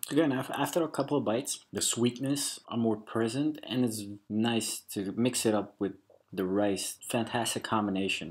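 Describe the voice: Delivered at a moderate pace, the voice has a slightly mellow tone and ordinary pitch variation. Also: man.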